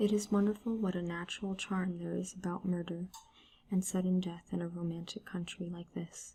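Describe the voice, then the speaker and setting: Someone soft-spoken talks at a fairly quick pace. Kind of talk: soft-spoken ASMR story reading.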